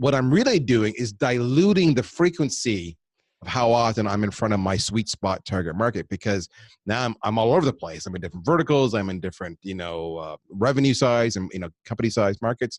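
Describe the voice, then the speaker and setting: The sound is dry and close, with no echo. A man talks at a fairly quick pace with a medium pitch and lively intonation. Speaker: marketing executive. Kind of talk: podcast interview. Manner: fast.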